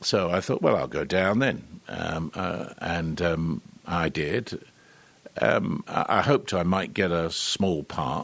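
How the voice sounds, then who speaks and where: A man speaks at a very slow pace in a very deep, low pitch. His pitch variation is ordinary. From London, England. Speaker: actor. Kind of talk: interview. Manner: hesitant, many fillers.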